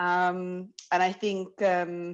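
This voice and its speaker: A woman speaks in a London accent at a fairly low pitch. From London, England. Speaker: workshop participant. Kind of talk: group discussion summary.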